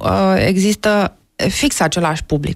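The voice moves at a fairly slow pace against a quiet background. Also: woman. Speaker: folk-jazz singer-songwriter. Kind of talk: interview answer. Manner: hesitant. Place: studio. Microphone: studio mic.

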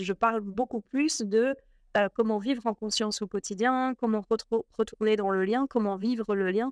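The pace is fairly slow and the intonation fairly even. The background is quiet, and the sound is dry with no echo. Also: woman. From Belgium. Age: 40s. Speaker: spiritual teacher; interview guest. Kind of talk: casual interview. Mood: warm, calm, reflective. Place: home room. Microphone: video call.

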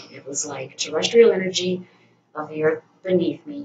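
A woman talks with normal pitch movement while noticeable noise sits in the background. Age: 40s. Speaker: vlogger; vlogger sharing a personal experience. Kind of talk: personal vlog monologue. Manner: halting, many fillers. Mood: reflective, calm. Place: home room.

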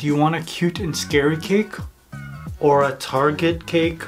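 A man talks over clear music in the background. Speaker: baking channel host. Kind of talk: casual vlog chat. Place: home room.

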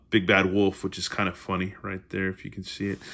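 In a playful, animated and bright, sharp tone, a man speaks against a quiet background. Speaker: YouTube storyteller. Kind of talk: bedtime story reading. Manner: playful, animated, chatty; casual, laughing, ad-libbing asides. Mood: playful, joking asides. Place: home room. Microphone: phone near.

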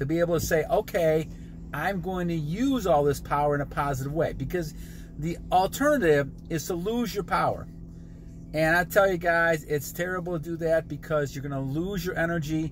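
A man's fairly high, animated voice, dry with no echo, over faint music in the background. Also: ordinary pitch variation, moderate pace. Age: 60s. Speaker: motivational vlogger. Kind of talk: motivational monologue. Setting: in a car. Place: car. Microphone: phone near.

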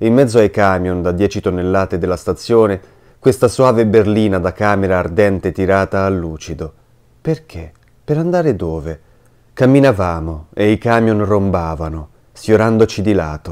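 In a normal speaking voice, a man talks at a moderate pace with a fairly low pitch and ordinary pitch variation, on a very clean recording with a silent background. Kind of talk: literary audiobook reading of a diary, read aloud in a hushed, intimate voice.

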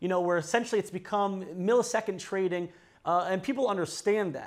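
The background is quiet while a man talks at a fairly quick pace. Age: 20s. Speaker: news channel interviewer. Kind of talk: interview. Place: studio.

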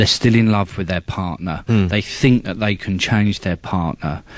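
A man with a normal speaking voice, fairly low pitch and ordinary pitch variation, against a quiet background. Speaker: charity chairman. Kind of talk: radio interview.

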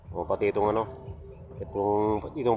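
Male speech at an even, moderate pace amid noticeable background noise. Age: 50s. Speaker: vlogger. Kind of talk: vlog monologue. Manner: halting.

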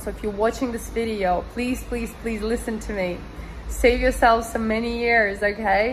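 Light background noise sits under a woman who talks at a moderate pace. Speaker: vlogger. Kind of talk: casual vlog chat. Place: home room. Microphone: phone near.

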